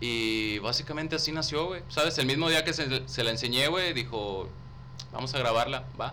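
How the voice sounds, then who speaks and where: Audible room echo surrounds a man talking at a moderate pace and medium pitch with ordinary pitch variation. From Tamaulipas, northern Mexico. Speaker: rapper and theatre student. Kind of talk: casual chat.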